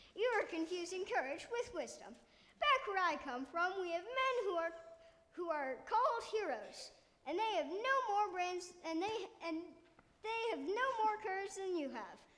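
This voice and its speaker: Pitched extremely high, a put-on character voice proceeds at a moderate speed. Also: long, frequent pauses. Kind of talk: grandiose stage oratory. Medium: stage play. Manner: pompous, windy, slightly halting.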